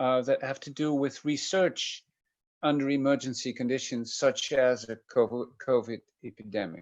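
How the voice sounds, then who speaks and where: A man with a Dutch accent talks over a quiet background. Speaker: professor of medical ethics. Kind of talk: lecture. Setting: video call. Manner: hesitant, many fillers.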